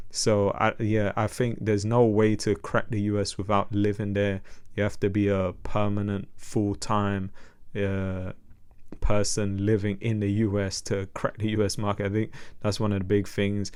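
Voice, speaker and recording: Speaking with a London accent at a moderate pace, a man with a fairly low pitch keeps his intonation monotone and flat. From London, England. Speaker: music artist. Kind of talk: podcast interview.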